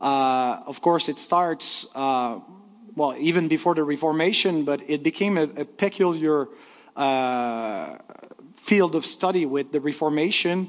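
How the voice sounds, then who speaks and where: Speaking with a French accent, a man talks at a fairly slow pace in a fairly high voice. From Quebec, Canada. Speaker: pastor. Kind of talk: lecture. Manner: halting.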